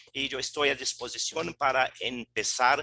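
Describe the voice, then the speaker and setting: A man with a non-native accent speaks at a fairly slow pace in a bright, sharp tone, the sound dry and close with no echo. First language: Portuguese (speaking Spanish). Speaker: law professor. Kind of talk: formal remarks.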